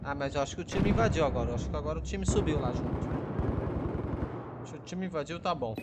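A man speaks at a fairly quick pace with hardly any pauses. Noticeable background noise and audible room echo are present. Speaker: gaming YouTuber. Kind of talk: gameplay commentary. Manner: animated.

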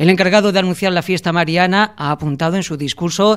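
A man with a high voice and ordinary pitch variation talks very fast. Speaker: TV news reporter. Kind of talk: TV news report narration.

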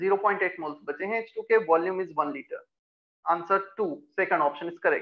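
A high-pitched man talks at a fairly quick pace against a quiet background, with ordinary pitch variation and big swings in loudness. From India. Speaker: chemistry teacher. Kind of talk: online class lecture. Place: classroom.

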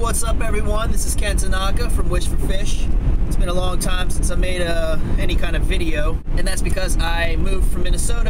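A man rattles off his words very quickly despite loud noise in the background. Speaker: fishing vlogger. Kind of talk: casual vlog chat. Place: car. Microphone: phone near.

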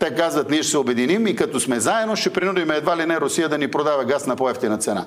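Talking very fast with hardly any pauses, a man with a fairly high pitch uses lively intonation. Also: very even loudness. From Bulgaria. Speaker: political commentator. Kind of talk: TV interview. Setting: studio. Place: studio.

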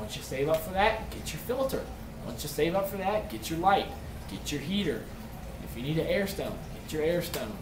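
Noticeable background noise sits behind a man with a high-pitched voice. He speaks at a moderate pace with lively intonation. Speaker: aquarium hobbyist YouTuber. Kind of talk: tutorial. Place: home room. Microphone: webcam.

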